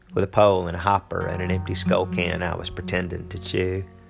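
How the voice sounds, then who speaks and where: Very deep, low male voice at a moderate pace over music in the background. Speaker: singer and actor. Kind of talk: spoken word poetry reading.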